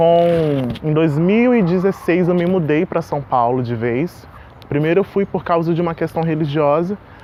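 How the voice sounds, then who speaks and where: A man with ordinary pitch variation, with noticeable background noise. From Porto Velho, Rondônia, Brazil. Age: 20s. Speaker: singer, actor and voice teacher. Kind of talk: interview monologue.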